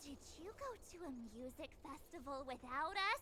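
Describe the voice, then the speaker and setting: A high-pitched, put-on character voice moves at a moderate pace over clear background noise. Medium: video game. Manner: lively, blunt.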